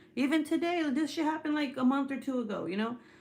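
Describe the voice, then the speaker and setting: A woman with a slight Spanish accent. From California. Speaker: YouTuber. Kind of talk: casual chat. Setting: live stream. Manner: animated.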